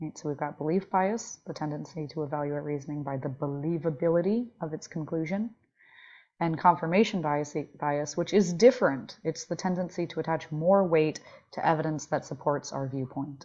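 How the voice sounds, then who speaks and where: This woman's voice sits very deep and low, with ordinary pitch variation. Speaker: philosophy instructor. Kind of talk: recorded online lecture. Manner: slow, deliberate pace; casual, conversational.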